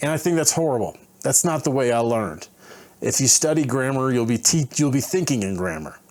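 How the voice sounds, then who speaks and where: In an unremarkable speaking voice with an American accent, a man talks at a fairly quick pace, medium in pitch with lively intonation. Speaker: travel vlogger and online English teacher. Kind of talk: casual vlog monologue. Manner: conversational, with many fillers and self-corrections.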